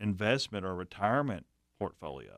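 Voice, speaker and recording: This is an ordinary speaking voice from a man. He talks at a moderate pace. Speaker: co-host, financial adviser.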